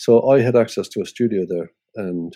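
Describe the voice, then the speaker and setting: The man's dark, mellow tone carries fairly even intonation at a moderate pace in a very clean recording with a silent background. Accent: Irish. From Ireland. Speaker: musician and radio presenter. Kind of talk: interview. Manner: halting.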